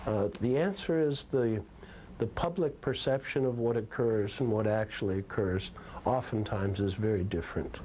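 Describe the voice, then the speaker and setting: At a moderate pace, a man talks in a medium pitch with a dark, mellow tone, ordinary pitch variation and very even loudness. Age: 70s. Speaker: basketball team owner. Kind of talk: interview answer.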